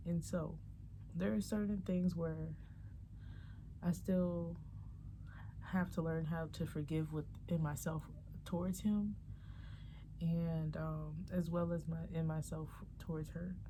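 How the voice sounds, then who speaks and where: Whispering at a very slow pace, a woman leaves long, frequent pauses, with audible room echo around her. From Chicago, Roseland. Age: 20s. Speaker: vlogger. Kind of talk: personal vlog monologue. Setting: at home in apartment. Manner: casual, rambling with fillers.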